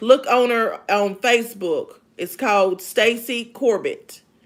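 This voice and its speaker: A woman's voice sits fairly high, with ordinary pitch variation. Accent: American. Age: 50s. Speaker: live streamer, author and former elderly caregiver. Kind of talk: casual live stream chat. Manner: loud; sounds like screaming.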